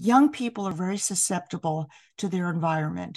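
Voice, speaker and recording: A woman's somewhat breathy voice with an American accent. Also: quiet background. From New York City. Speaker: piano professor. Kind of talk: interview.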